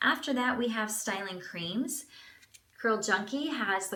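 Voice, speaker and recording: With noticeable background noise behind her, a woman talks at a moderate pace with lively intonation. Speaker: beauty vlogger. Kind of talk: product review tutorial. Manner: casual, chatty.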